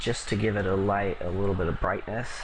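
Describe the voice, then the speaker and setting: Noticeable background noise runs under the man's speech. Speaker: music producer. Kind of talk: tutorial. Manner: halting.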